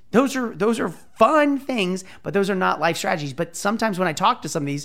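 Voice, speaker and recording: A man is talking here. His pace is fairly quick. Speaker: podcast host. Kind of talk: motivational pep talk. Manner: emphatic, fired-up, urgent; fast, casual, profane.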